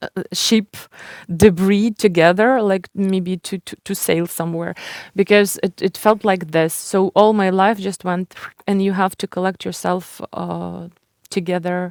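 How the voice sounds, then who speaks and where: On a very clean recording with a silent background, a woman with a Ukrainian accent speaks at a medium pitch in a flat monotone, the sound dry and close with no echo. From Ukraine. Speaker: writer and publisher. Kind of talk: interview. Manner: halting.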